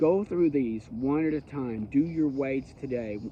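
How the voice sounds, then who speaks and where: A man with a plain, everyday voice talks at a fairly high pitch with ordinary pitch variation. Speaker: bible teacher. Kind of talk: bible study teaching.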